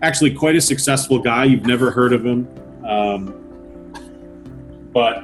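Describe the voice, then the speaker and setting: Music in the background beneath a man's medium pitch and ordinary pitch variation. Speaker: auctioneer, collector. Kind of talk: interview answer.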